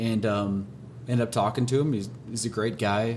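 Here is an unremarkable speaking voice from a man, pitched fairly low. He talks at a fairly quick pace with fairly even intonation. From Minnesota, rural farm. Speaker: trucking and logistics business owner. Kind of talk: casual interview.

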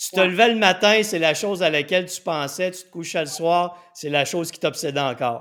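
This animated, bright and sharp voice moves at a moderate pace with ordinary pitch variation and big swings in loudness. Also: man. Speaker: weight-loss coach and show host. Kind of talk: interview.

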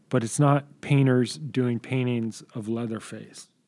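A man's dark, mellow voice at medium pitch, very slow in pace, with fairly even intonation. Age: 40s. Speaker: film director. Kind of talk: interview. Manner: calm, measured.

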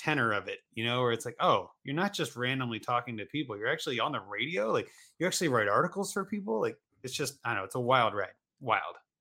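Very fast speech in an American accent with a bright, sharp tone, on a very clean recording with a silent background. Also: man. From Ohio, US. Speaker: fantasy football podcaster and writer. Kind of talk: casual chat.

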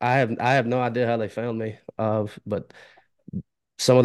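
Speaking at a moderate pace with a Southern US accent, a man holds a medium pitch in monotone, flat intonation. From Alabama and Mississippi border area. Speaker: podcaster. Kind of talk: casual interview chat.

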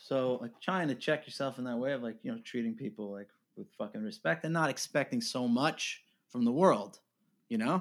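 A man's ordinary speaking voice with lively intonation. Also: medium pitch for a man, moderate pace. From New York. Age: 30s. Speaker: indie musician. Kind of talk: casual interview. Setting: remote call.

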